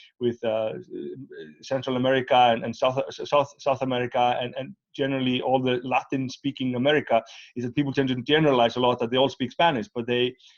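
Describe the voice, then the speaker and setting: A man with an Icelandic accent speaks very fast at a medium pitch, in a monotone, flat intonation. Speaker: interviewer. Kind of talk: interview. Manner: halting, many fillers and repeats.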